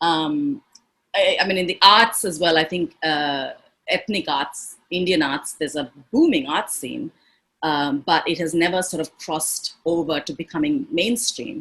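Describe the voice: A woman speaks at a fairly slow pace and a low pitch, with ordinary pitch variation. Her tone is fairly bright with a slightly husky edge.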